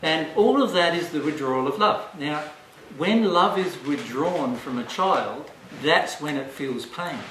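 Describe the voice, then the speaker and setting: Amid noticeable background noise, a man with an Australian accent talks at a fairly slow pace and a fairly high pitch, with lively intonation. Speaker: spiritual teacher. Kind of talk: seminar talk. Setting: live audience.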